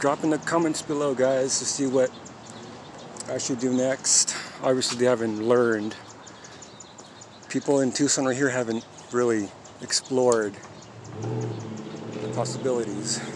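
A man talks at a fairly slow pace with fairly even intonation and long, frequent pauses. The sound is dry with no echo, though background noise is noticeable. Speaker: vlogger filming a public audit. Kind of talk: casual vlog chat. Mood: amused, a bit agitated. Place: street. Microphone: phone near.

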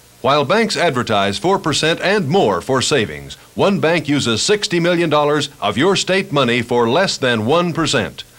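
This man's fairly high voice has vocal fry and lively intonation, moving at a moderate pace with hardly any pauses. His loudness stays very even. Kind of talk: political campaign ad voice-over.

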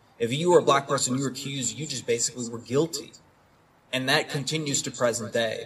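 Very fast speech from a man with fairly even intonation and light background noise. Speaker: lawyer. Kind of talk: panel discussion. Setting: stage with audience. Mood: earnest, impassioned. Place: garden. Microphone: handheld.

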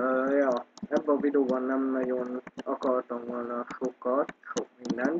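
A man speaks very slowly at a medium pitch, in a flat monotone. Noticeable background noise runs under his voice. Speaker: gaming youtuber. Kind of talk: gameplay commentary. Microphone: poor microphone, keyboard audible.

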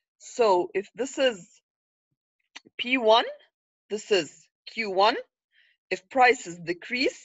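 A woman speaks with an Arabic accent. Her voice is fairly high. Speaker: economics lecturer. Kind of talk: lecture. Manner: frequent fillers, repetitive.

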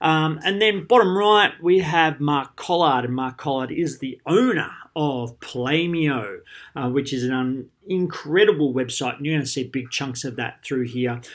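A man with an Australian accent speaks in a fairly high pitch with lively intonation. The recording is very clean, with a silent background. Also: fairly slow pace. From Australia, Geelong. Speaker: primary school PE teacher. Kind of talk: conference presentation. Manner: animated.

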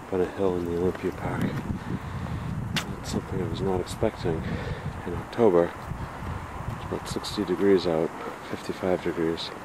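A man at a moderate pace with long, frequent pauses, dry sound with no echo, and loud background noise. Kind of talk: casual vlog commentary. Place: open country. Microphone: old recording.

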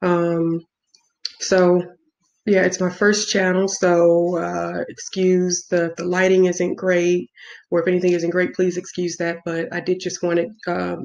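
A woman in an American accent talks at a moderate pace with monotone, flat intonation. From US Midwest, south side of Chicago. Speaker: travel vlogger. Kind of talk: casual vlog monologue. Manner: hesitant, many fillers. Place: home room. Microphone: webcam.

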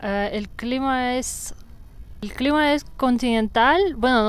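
Speaking very slowly with a Russian accent, a woman has a high pitch, ordinary pitch variation and a dry sound with no echo. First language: Russian (speaking Spanish). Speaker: yoga teacher. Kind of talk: casual interview. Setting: outdoors in a park. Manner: fluent. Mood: calm, relaxed. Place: forest. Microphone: lapel.

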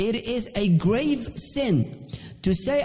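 A man's intonation is lively, with noticeable background noise behind him. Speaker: Islamic teacher. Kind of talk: religious lecture.

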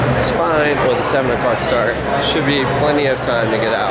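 A man talks at a medium speed while heavy noise fills the background. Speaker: travel vlogger. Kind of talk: casual vlog chat. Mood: tense then explanatory. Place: stadium. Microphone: phone near.

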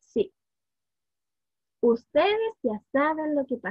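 A woman's warm, playful tone with very wide pitch swings over a quiet background. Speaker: early childhood education student; student storyteller. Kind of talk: children's storytelling, picture-book read-aloud. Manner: warm, playful, engaging, asking the children questions. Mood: warm, playful storytelling. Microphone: webcam.

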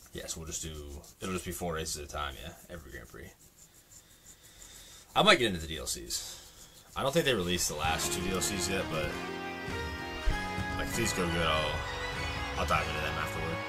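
With clear music in the background, the speaker talks at a fairly quick pace with ordinary pitch variation. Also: man. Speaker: gamer streamer. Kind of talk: gameplay commentary. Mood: frustrated, swearing at game. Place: home room. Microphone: headset.

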